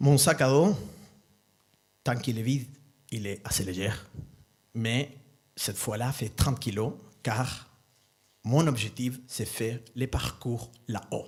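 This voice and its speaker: A somewhat breathy man with a slight non-native accent speaks at a very slow pace and a medium pitch with ordinary pitch variation. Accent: slight foreign accent in French. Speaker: storyteller. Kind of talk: live storytelling talk. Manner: halting.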